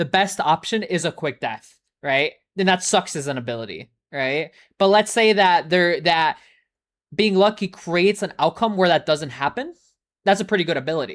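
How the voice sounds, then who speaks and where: The speech is animated, at a moderate pace with ordinary pitch variation, in a very clean recording with a silent background and a dry, close sound with no echo. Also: man, high pitch for a man. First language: not English. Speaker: ASMR streamer. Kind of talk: casual live-stream chat. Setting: live stream. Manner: rambling, halting.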